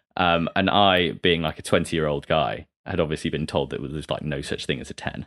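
A man's very deep, low voice with vocal fry, fairly even intonation, a fairly quick pace and hardly any pauses. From Derby, English Midlands. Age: 20s. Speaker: dating podcast guest. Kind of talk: casual interview chat.

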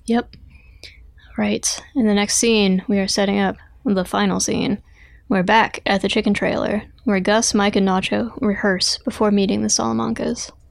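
A quiet woman talks at a moderate pace with very even loudness and long, frequent pauses, captured in a very clean recording with a silent background. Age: 30s. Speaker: podcast co-host. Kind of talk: casual chat.

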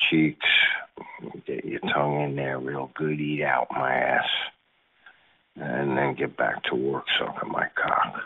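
A man is speaking. His pace is fairly slow. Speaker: chat line caller. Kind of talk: recorded greeting. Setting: phone call.

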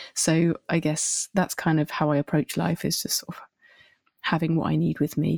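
A woman's very deep, low voice with vocal fry, in a southern English accent, monotone and flat at a moderate pace, on a very clean, dry, close recording with no echo and a silent background. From southern England (Winchester). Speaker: singer-songwriter. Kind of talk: casual interview.

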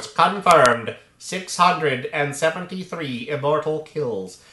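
A man puts on a character voice, fairly high in pitch. He speaks at a very slow pace. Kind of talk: robotic, flat.

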